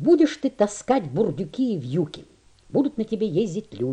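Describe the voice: What we hear is plain reading aloud.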